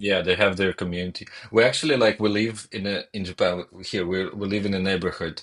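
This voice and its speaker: A man with a non-native accent, fairly low in pitch, fairly quick and fairly even in intonation. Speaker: gaming streamer. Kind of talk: casual chat. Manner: halting, many repetitions.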